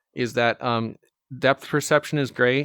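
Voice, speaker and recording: This very clean recording has a silent background and a dry, close sound with no echo, with fairly even intonation. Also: man. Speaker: VR video host. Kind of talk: casual monologue. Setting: at home in VR headset. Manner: halting, many fillers and repetitions; loud.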